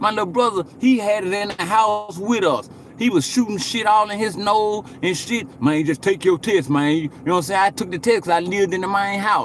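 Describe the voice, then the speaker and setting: A man speaks at a fairly quick pace with a high pitch, ordinary pitch variation and hardly any pauses, over noticeable background noise. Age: 40s. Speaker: livestreamer. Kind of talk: casual livestream chat.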